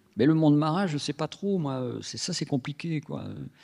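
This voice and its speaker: Recorded very cleanly against a silent background, a man speaks with a dry, close sound and no echo. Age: 60s. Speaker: comic book author. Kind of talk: interview at public author talk. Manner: halting, many restarts.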